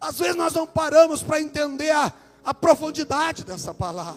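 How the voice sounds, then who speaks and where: A man in a Minas Gerais accent, extremely high in pitch with ordinary pitch variation, at a fairly slow pace, with music in the background. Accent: mineiro. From Brazil, Minas Gerais. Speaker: preacher. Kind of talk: sermon.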